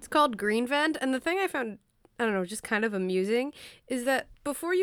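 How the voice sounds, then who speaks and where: A woman with fairly high pitch speaks in a normal speaking voice. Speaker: podcast co-host. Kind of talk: casual chat.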